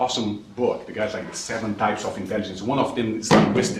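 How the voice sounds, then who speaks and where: Over noticeable background noise and audible room echo, a man with a Brazilian Portuguese accent talks at a fairly quick pace and a medium pitch. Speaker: investment manager. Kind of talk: lecture Q&A. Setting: classroom with audience. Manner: halting, repeats words.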